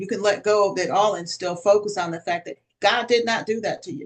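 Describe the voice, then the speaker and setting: A woman with an American accent talks at a fairly quick pace in a normal speaking voice. Her pitch is medium, with ordinary variation. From Connecticut, US. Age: 60s. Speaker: author and minister. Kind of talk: interview testimony.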